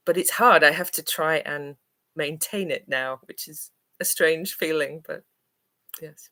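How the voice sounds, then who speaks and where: With long, frequent pauses and big swings in loudness, a woman speaks at a very deep, low pitch in a bright, sharp tone with fairly even intonation. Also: fairly slow pace. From northern England, Manchester. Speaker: English teacher. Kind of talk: live stream Q&A. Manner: hesitant, many fillers.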